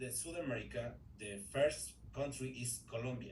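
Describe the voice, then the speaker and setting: With a Spanish accent, a man talks at a moderate pace. Audible room echo and noticeable background noise fill the recording. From Ecuador. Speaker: English learner in a group class. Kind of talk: language class conversation practice. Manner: halting, with many repetitions and fillers.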